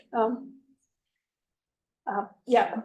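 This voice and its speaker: A woman's fairly high voice with a dark, mellow tone and a non-native accent. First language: not English. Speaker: researcher. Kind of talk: lecture. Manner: halting, many fillers.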